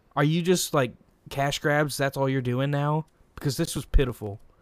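A man's fairly high-pitched voice at a moderate pace, in a very clean recording with a silent background. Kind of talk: casual chat. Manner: rambling, halting, many filler words.

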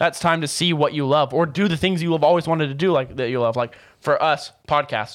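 A man with an American accent speaks in an animated tone at a fairly quick pace. His pitch is fairly high, with ordinary variation. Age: young. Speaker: podcast co-host. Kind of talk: casual chat.

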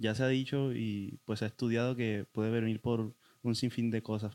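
At a moderate pace, a man speaks at medium pitch with fairly even intonation, the sound dry and close with no echo. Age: 20s. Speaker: guest sharing experience of depression. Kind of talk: testimony. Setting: in-person studio recording.

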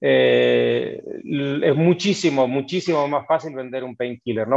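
The man speaks at a fairly high pitch with fairly even intonation. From Argentina, Buenos Aires province (Necochea). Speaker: tech company co-founder. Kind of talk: interview.

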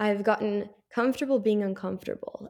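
A woman's dark, mellow voice with an American accent. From US West Coast, Carlsbad, California. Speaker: podcast guest, recent graduate with narcolepsy. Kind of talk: interview, personal testimony.

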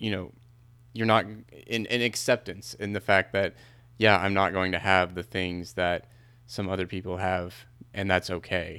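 A man speaks in a very deep, low, bright, sharp voice at a moderate pace. His intonation is fairly even, and the recording is very clean with a silent background. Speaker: podcast co-host. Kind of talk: casual conversation.

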